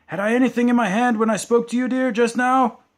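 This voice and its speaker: Using a hoarse, put-on character voice, a man speaks at a very fast pace with an extremely high pitch. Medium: read story.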